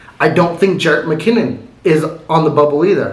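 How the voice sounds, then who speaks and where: A man with an American accent at a fairly quick pace, over noticeable background noise. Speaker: sports commentary youtuber. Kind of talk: casual sports commentary monologue. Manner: fast.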